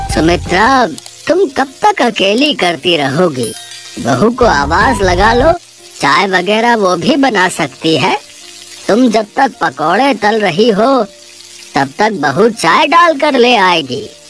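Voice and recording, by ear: A cartoonish character voice swings very widely in pitch yet stays very even in loudness. The pace is fairly slow, with clear background noise. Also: man, high pitch for a man.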